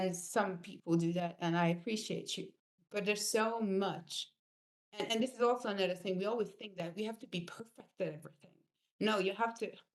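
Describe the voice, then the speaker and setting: Her intonation fairly even, a woman speaks at a fairly quick pace and a medium pitch. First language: not English. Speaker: spiritual coach. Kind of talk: online course lesson. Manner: halting.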